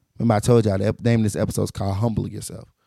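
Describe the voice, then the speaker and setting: With music in the background, a man speaks at a medium pitch in a dry, close sound with no echo. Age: 30s. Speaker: podcast host. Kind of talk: casual motivational monologue.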